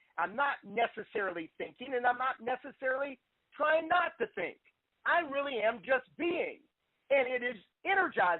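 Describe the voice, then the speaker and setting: A man speaks with an extremely high pitch. His tone is animated. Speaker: life coach leading a group call. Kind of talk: group coaching call talk. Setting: phone conference call.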